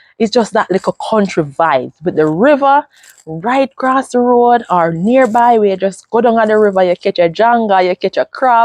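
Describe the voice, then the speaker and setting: A woman's animated, lively voice in a Jamaican accent, fairly high in pitch, at a moderate pace with very even loudness and a dry, close sound with no echo. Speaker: vlogger. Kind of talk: casual vlog talk to camera.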